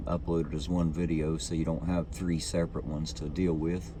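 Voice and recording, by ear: At a moderate pace, a man speaks with an extremely low pitch and little pitch movement.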